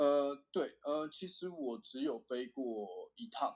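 A man talks at a very slow pace. His fairly high voice has lively intonation. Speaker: semiconductor equipment engineer. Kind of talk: casual interview chat. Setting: remote call.

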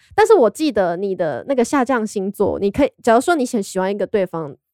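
A woman with a normal speaking voice talks at a fairly quick pace, her pitch fairly high and her intonation lively. The recording is very clean, with a silent background and a dry, close sound with no echo. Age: 20s. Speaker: fortune-telling enthusiast. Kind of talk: casual chat.

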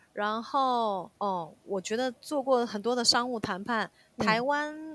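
Speaking in a normal speaking voice, a woman has a fairly high pitch and ordinary pitch variation. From South Korea (ethnic Chinese). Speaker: Korean-Chinese interpreter and Korean teacher. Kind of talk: casual interview.

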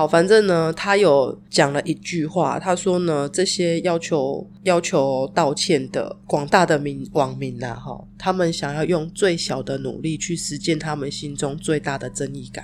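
A woman's very deep, low voice with vocal fry, fairly slow with hardly any pauses, big swings in loudness and ordinary pitch variation. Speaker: podcast co-host. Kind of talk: casual chat.

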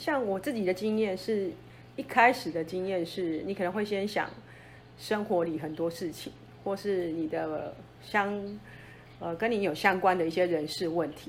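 A woman's ordinary speaking voice, medium in pitch, with ordinary pitch variation at a moderate pace. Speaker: mountain guide. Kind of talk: interview.

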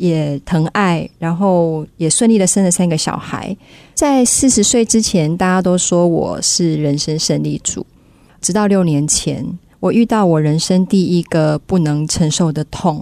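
Her voice fairly low and dark and mellow in tone, a woman speaks at a fairly slow pace with ordinary pitch variation. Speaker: business owner, former flight attendant. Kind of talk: storytelling speech.

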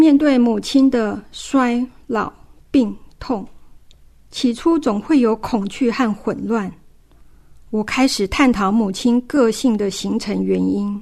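A woman speaks at a very slow pace with ordinary pitch variation, leaving long, frequent pauses. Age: 50s. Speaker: family caregiver. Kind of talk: testimony.

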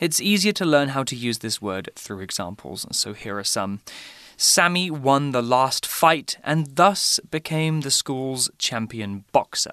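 Speaking slowly-ish with a British accent, a man has a fairly high pitch, a bright, sharp tone and very wide pitch swings. The background is quiet, and the sound is dry and close with no echo. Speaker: English teacher podcast host. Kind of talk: language lesson. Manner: clear, deliberate.

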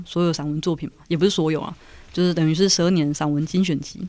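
In a very clean recording with a silent background, a woman speaks with a fairly low pitch and a dark, mellow tone. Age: 30s. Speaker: writer. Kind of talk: casual chat.

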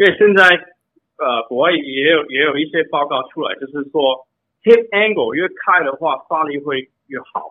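A fairly high-pitched male voice with ordinary pitch variation, moving at a fairly slow pace. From Canada. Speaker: bike fitter. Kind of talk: interview answers. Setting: phone call. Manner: halting, repeated words.

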